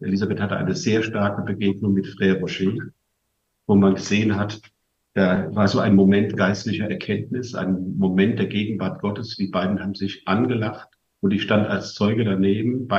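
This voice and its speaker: With a plain, everyday voice, a man talks at a moderate pace in a fairly low pitch with fairly even intonation. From western Germany (Westerwald). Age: 60s. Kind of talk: talk to a family gathering. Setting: live event with audience, broadcast on radio.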